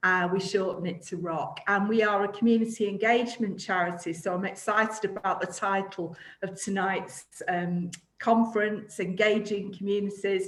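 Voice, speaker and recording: A woman speaks at a moderate pace in a Manchester accent, her medium-pitched voice monotone and flat, with audible room echo around it. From Greater Manchester, England. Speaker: charity director. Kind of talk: panel discussion. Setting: video call.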